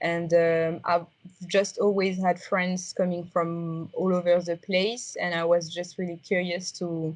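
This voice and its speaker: The speaker talks at a fairly slow pace with a strong French accent. The intonation stays flat and monotone. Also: woman, fairly low pitch for a woman. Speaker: XR designer. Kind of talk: interview. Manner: halting, many fillers.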